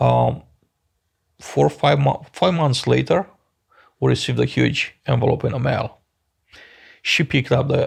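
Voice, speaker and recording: The speaker has a Romanian accent and talks at a moderate pace. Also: man. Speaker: business founder. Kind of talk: interview.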